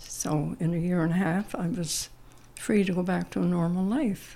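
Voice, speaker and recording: A woman's fairly low, dark, mellow tone with vocal fry, at a fairly slow pace. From Newfoundland, Canada. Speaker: retired teacher and quilter. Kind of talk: casual interview. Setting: at her home.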